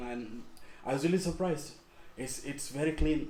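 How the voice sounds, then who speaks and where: A man talking at a very fast pace, fairly even intonation, noticeable background noise and audible room echo. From Bangladesh, Dhaka. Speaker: master's student. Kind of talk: podcast interview. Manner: halting, repeats words.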